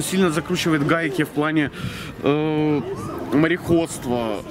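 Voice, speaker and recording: The speech comes at a fairly quick pace, in a dry sound with no echo and with noticeable background noise. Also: man. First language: Russian. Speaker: local small-business owner; interviewee. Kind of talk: street interview. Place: street. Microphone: camera far.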